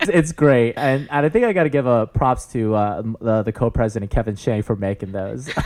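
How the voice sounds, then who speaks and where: A man with an American accent talks at a fairly quick pace, with hardly any pauses. His pitch variation is ordinary, and there is noticeable background noise. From US West Coast, San Francisco Bay Area. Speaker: MBA student and army veteran. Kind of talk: podcast interview. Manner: loud; animated.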